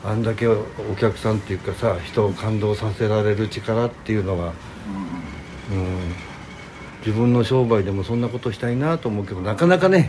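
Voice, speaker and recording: Over noticeable background noise and audible room echo, a man speaks fairly quickly with ordinary pitch variation and long, frequent pauses. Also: fairly low pitch for a man. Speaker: host's brother-in-law, kimono shop owner. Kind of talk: casual chat. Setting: backstage dressing room after a concert.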